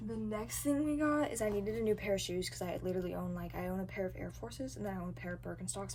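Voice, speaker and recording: Audible room echo follows a woman who speaks at a very fast pace. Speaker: book vlogger. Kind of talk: casual vlog. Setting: public bus terminal. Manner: animated.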